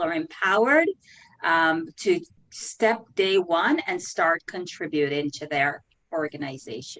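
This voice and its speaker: With a Jamaican accent, a woman speaks at a fairly slow pace, her pitch swinging very widely. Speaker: career coach and recruiter. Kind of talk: interview.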